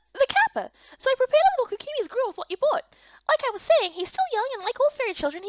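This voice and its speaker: Putting on a squeaky character voice, a woman talks very fast at an extremely high pitch with lively intonation. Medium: fan dub.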